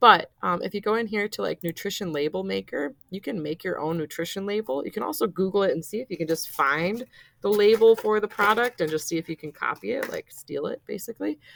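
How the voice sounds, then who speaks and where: A woman with a medium pitch and an unremarkable speaking voice talks at a fairly quick pace, the sound dry and close with no echo. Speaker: teacher. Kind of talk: tutorial. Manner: casual.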